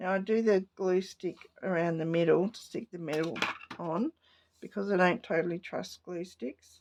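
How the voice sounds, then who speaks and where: A woman with an Australian accent at a moderate pace, with ordinary pitch variation, big swings in loudness, and a dry, close sound with no echo. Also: medium pitch for a woman. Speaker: papercraft hobbyist. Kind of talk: crafting tutorial.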